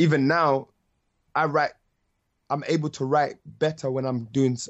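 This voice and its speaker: In a London accent, a man with a fairly high pitch talks at a moderate pace in a monotone with flat intonation. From London (North London). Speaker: musician and rapper. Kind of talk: interview.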